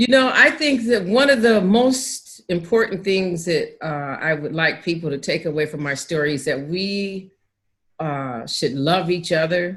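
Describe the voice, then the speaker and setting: A woman speaks at a fairly slow pace with an American accent. Her fairly low voice rises and falls in very wide pitch swings. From Pasadena, California. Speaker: author and motivator. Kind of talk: interview answer.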